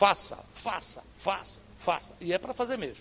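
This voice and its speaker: Against noticeable background noise, a man talks at a fairly slow pace. His pitch is high, with ordinary pitch variation. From northeastern Brazil. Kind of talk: preacher, sermon delivery.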